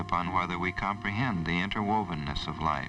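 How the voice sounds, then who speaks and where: Over noticeable background noise, a man talks at a fairly quick pace, his fairly low pitch showing ordinary variation. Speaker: nature center executive director. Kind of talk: documentary narration.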